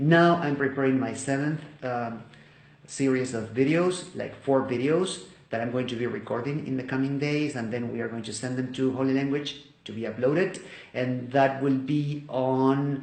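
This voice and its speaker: Moderate-paced speech in a Spanish accent, with audible room echo and noticeable background noise. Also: man. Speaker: volunteer video teacher. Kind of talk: testimony. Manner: halting.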